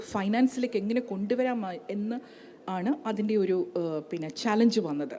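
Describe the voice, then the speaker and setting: Against noticeable background noise, a woman with a Kerala accent speaks at a fairly high pitch, with very wide pitch swings. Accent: Malayali accent in English. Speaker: economist. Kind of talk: panel talk at business conclave.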